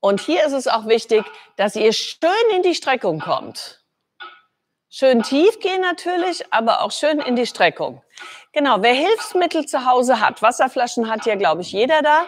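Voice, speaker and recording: A woman's high voice at a fairly slow pace, with long, frequent pauses over light background noise. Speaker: fitness trainer. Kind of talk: workout instruction. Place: gym.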